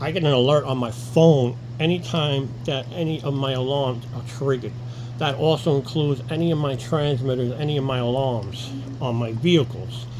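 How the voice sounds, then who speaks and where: Someone with an American accent speaks at a moderate pace with fairly even intonation, amid noticeable background noise and audible room echo. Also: man, medium pitch for a man. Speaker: alarm installer. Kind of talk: tutorial. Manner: halting, self-correcting; casual.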